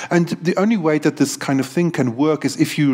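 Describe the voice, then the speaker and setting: A man talks at a fairly quick pace with lively intonation over noticeable background noise. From South Africa. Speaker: university academic, podcast co-host. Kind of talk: casual discussion.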